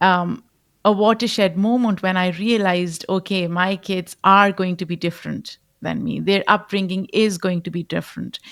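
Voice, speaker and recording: A woman with a Pashto accent speaks at a moderate pace, her medium pitch following a fairly even intonation. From Pakistan. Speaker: podcast host. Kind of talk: interview.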